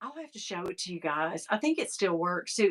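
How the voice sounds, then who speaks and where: A woman's bright, sharp, animated voice in a Southern US accent, with lively intonation at a moderate pace. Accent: Southern country. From US South (East Tennessee). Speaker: vlogger. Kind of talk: casual chat.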